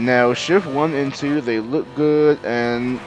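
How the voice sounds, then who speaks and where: A man mumbles his words. Noticeable background noise sits behind him. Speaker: gaming youtuber. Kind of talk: gameplay commentary. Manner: halting, many fillers; mumbling.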